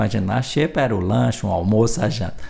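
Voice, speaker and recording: A man with a strong northeastern Brazilian accent, lively in intonation, at a moderate pace. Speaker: journalist and music researcher. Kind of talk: podcast interview, storytelling.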